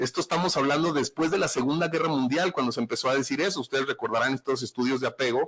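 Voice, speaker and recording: A man with a northern Mexican accent talks at a very fast pace with hardly any pauses, very even loudness, fairly high pitch and ordinary pitch variation. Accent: northern Mexican Spanish (Sonora). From Mexico, Sonora (Nogales). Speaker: forensic psychologist. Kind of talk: podcast livestream talk. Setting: live stream. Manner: casual, blunt.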